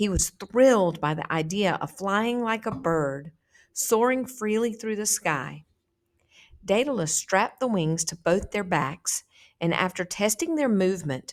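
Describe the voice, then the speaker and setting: A woman with a normal speaking voice and an American accent, medium pitch, lively intonation, and a fairly slow pace, on a very clean recording with a silent background. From south Georgia, USA. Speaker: teacher. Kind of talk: story read aloud to students.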